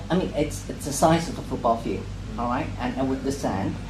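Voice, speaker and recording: Over noticeable background noise and audible room echo, a man talks at a medium pitch. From Hong Kong, grew up in Sheung Shui. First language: Cantonese. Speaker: poet. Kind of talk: casual talk to a reading group. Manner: halting, many fillers and repetitions.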